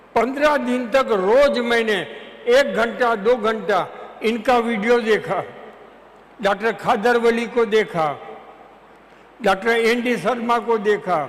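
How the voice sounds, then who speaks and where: With noticeable background noise behind him, a man with an extremely high pitch and fairly even intonation speaks with long, frequent pauses. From Chhattisgarh, India. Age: 80s+. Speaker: retired advocate. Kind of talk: testimony. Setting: auditorium with audience.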